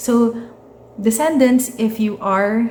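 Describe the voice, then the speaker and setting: Speaking at a fairly slow pace with fairly even intonation, a woman with a Filipino accent is heard with audible room echo and noticeable background noise. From Philippines. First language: Tagalog. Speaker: tarot reader. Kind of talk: tarot reading. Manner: casual, hesitant with many fillers.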